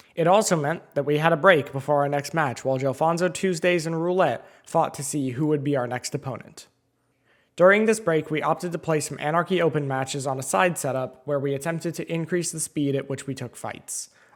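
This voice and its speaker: This man's voice sits fairly high and has ordinary pitch variation, delivered at a fairly quick pace in an ordinary speaking voice. The recording is very clean, with a silent background. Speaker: competitive video game player. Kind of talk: video essay narration.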